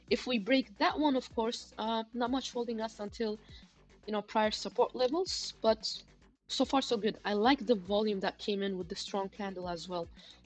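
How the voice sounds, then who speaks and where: A woman's fairly high voice at a moderate pace, with ordinary pitch variation and music in the background. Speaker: crypto trading livestreamer. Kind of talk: live stream chart analysis and chat. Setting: live stream.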